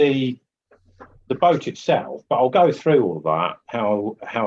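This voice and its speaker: A man's medium-pitched voice with very wide pitch swings and vocal fry. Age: 50s. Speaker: oil painter and art teacher. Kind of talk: live painting tutorial. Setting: live webinar. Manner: casual, halting with fillers.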